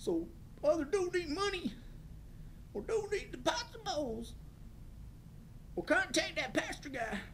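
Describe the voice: A put-on character voice at a moderate pace with long, frequent pauses and clear background noise.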